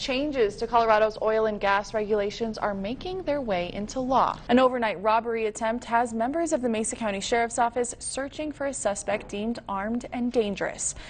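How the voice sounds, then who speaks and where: With hardly any pauses, a woman speaks at a fairly high pitch over noticeable background noise. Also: ordinary pitch variation, fairly quick pace. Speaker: TV news anchor and reporter. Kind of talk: TV news anchor delivery.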